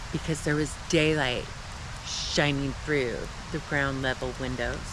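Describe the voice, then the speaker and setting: Noticeable background noise sits under the recording. A man talks at a fairly slow pace. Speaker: solo camper and vlogger telling a personal ghost story. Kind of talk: first-person ghost story told to camera at a campsite. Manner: slow, reflective storytelling with pauses.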